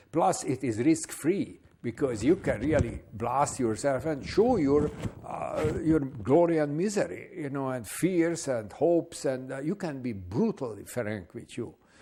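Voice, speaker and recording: A fairly high-pitched man delivers his words at a fairly slow pace, his intonation lively, while noticeable background noise carries on behind him. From Hungary. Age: 70s. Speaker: artist and retired professor. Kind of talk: interview. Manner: hesitant, many filler words.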